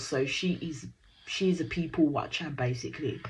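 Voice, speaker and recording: An animated, somewhat breathy voice with a Birmingham accent. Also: woman. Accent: Brummie. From Birmingham, England. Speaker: reality TV reaction YouTuber. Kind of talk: casual recap commentary.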